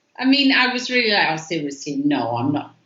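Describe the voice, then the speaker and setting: With an English accent, a woman speaks at a moderate pace and her pitch swings very widely. Audible room echo hangs around her words. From England. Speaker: artist. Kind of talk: interview.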